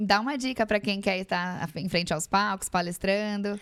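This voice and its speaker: Speaking at a fairly quick pace, a woman of medium pitch keeps her intonation fairly even in a very clean recording with a silent background. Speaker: podcast host. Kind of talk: interview. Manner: fast.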